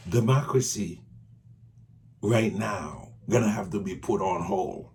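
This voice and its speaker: In a room with audible echo, a man speaks very slowly at a fairly low pitch. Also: ordinary pitch variation. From Haiti. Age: 60s. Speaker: political commentator. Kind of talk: video monologue. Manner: animated.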